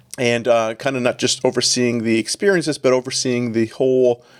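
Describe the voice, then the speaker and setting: Speaking at a fairly quick pace with a slight Canadian accent, the voice keeps a fairly even intonation in a dry, close recording with no echo. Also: man. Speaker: executive pastor. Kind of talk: podcast interview.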